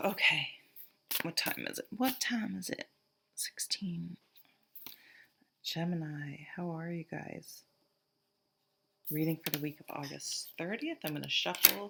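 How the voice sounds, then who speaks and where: A woman with an American accent talks at a fairly slow pace, leaving long, frequent pauses. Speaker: tarot reader. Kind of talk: tarot reading to camera. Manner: casual, thinking aloud with fillers.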